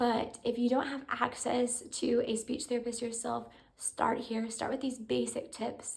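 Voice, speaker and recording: A woman's high, monotone voice with flat intonation at a fairly slow pace. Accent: American. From US. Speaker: parent vlogger. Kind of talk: casual tutorial. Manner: conversational with fillers.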